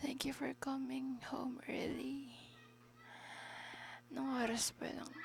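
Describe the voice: This woman's voice sits high in pitch and carries vocal fry.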